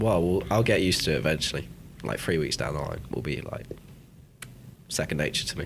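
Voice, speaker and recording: A man with a southern English accent speaks very fast in a very deep, low pitch, with lively intonation, vocal fry, and long, frequent pauses. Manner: casual, conversational.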